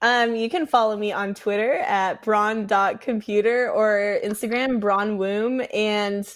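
A woman with an American accent has a normal speaking voice and fairly even intonation. The recording is very clean, with a silent background. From Seattle, US West Coast. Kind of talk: casual chat.

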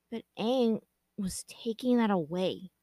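The reading is done in a natural reading voice with ordinary pitch variation. The background stays quiet.

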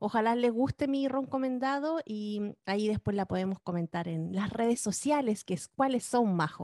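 With a Chilean accent, a woman speaks at a moderate pace with lively intonation. The sound is dry and close with no echo, over a quiet background. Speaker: film and TV podcast co-host. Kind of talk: casual chat.

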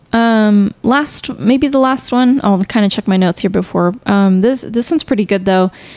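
A woman with a plain, everyday voice: fairly high pitch, ordinary pitch variation, very even loudness, a moderate pace and hardly any pauses. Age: 20s. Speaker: podcast co-host, graduate student. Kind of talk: casual chat.

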